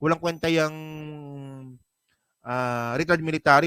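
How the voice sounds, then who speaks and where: Man with a bright, sharp tone and fairly even intonation. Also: dry, close sound with no echo. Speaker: political commentary vlogger. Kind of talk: live stream commentary. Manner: casual, conversational.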